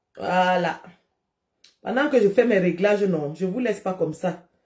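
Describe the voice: A woman's fairly low voice carries a slightly mellow tone and lively intonation. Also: fairly slow pace.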